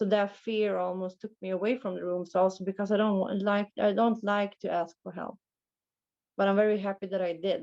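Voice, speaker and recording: A woman with a Swedish accent speaks at a fairly quick pace at a medium pitch, her intonation monotone and flat. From Sweden. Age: 30s. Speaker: recovering alcoholic sharing at a meeting. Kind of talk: testimony. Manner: halting.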